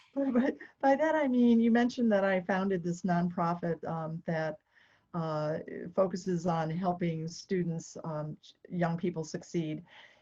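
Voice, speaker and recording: Somewhat breathy and dark, mellow in tone, a woman with an American accent talks at a fairly low pitch and fairly slow pace, with ordinary pitch variation. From United States. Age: 60s. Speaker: triathlete and retired nonprofit founder. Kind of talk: podcast interview.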